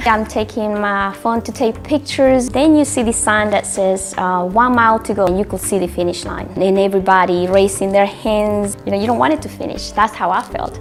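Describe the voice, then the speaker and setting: With a Spanish accent, a woman talks fairly quickly at a medium pitch with ordinary pitch variation and hardly any pauses while music plays in the background. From Honduras. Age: 40s. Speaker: amateur marathon runner. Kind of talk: interview testimony. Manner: hesitant, with fillers and repetitions.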